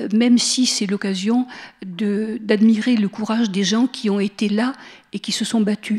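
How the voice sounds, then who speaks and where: Her intonation is fairly even and her pace moderate. A woman with a slight Marseille accent speaks at a fairly high pitch. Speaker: lecturer on Walter Benjamin. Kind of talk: public lecture. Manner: hesitant, with fillers.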